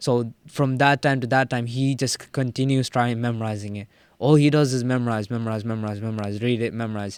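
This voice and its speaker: Speaking at a very fast pace with fairly even intonation, a man with a medium-pitched voice comes through on a very clean recording with a silent background. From Middle East, Sri Lankan parents, born in Jordan. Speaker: college student and Islamic community worker. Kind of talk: casual chat.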